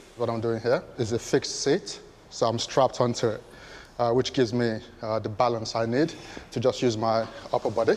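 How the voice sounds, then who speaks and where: Through noticeable background noise, a man speaks at a medium pitch and a fairly quick pace. His intonation is fairly even, broken by long, frequent pauses. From Nigeria. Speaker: Paralympic rower. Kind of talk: interview. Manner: repeats words.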